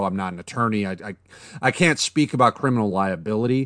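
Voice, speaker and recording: Over a quiet background, a man with a normal speaking voice talks at a fairly quick pace, at medium pitch and with ordinary pitch variation. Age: 40s. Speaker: podcast co-host. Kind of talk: casual chat.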